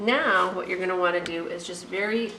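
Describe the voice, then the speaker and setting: A woman talks with ordinary pitch variation, her voice picking up audible room echo over noticeable background noise. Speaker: cooking video host. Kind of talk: cooking tutorial. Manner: fast; casual, chatty.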